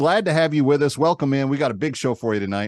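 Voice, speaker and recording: In an American accent, a man with an unremarkable speaking voice talks at a fairly quick pace with lively intonation, the sound dry and close with no echo against a quiet background. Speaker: radio talk show host. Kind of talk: comedic talk show monologue. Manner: casual, conversational.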